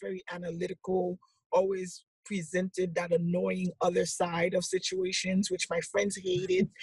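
The sound is dry and close with no echo as a woman speaks fairly slowly at a medium pitch, somewhat breathy. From Haiti. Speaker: entrepreneur and business coach. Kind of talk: interview.

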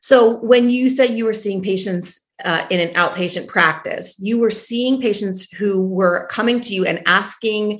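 With an American accent, a woman uses a normal speaking voice at a moderate pace with ordinary pitch variation. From US Northeast, New Jersey. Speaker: family medicine doctor and podcast host. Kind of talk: interview podcast.

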